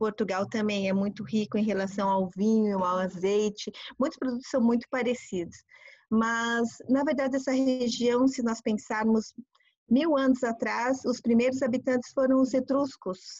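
A woman with a normal speaking voice talks at a moderate pace. Her pitch is fairly high, with ordinary pitch variation. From Brazil. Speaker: tour guide and translator. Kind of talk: informal interview.

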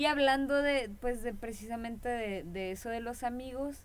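In a Mexican accent, a woman with a fairly high pitch speaks at a fairly slow pace. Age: 20s. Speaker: podcast co-host. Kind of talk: casual chat.

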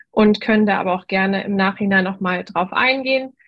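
Somewhat breathy, a woman speaks at medium pitch. Her pace is moderate and her intonation fairly even. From North Rhine-Westphalia, Germany. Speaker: dentist. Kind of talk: casual interview. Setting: video group call.

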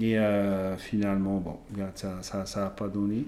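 A man speaks at a fairly slow pace in a fairly low pitch with a dark, mellow tone. Audible room echo surrounds his voice. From French Polynesia. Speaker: strength athlete and naturopath. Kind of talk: casual interview.

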